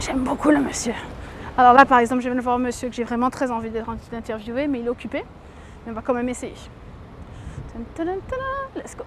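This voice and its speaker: Over noticeable background noise, a high-pitched woman talks very fast with fairly even intonation and long, frequent pauses. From Guadeloupe, Pointe-à-Pitre. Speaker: journalist and TV presenter. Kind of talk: interview. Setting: TV set.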